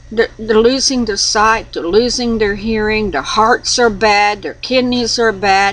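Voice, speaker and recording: The delivery is very slow in pace, with ordinary pitch variation. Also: woman. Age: 60s. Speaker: religious video blogger. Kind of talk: casual monologue. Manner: halting.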